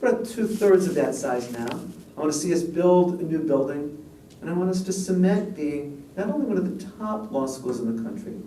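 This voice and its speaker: With an American accent, a man speaks at a moderate pace in a high voice with lively intonation, over noticeable background noise and audible room echo. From US Midwest, Chicago South Side. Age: 60s. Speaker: law professor and dean. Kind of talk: public lecture.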